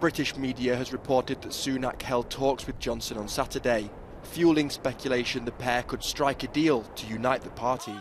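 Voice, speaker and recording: A man speaks at a moderate pace with medium pitch. His intonation stays fairly even over noticeable background noise. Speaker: news anchor. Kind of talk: news reading.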